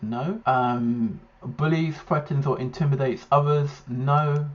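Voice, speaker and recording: A man talks at a fairly slow pace in a fairly high, somewhat breathy voice with ordinary pitch variation. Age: 40s. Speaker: YouTuber reacting to ADHD test. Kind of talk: casual monologue reacting to questionnaire. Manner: halting, many fillers.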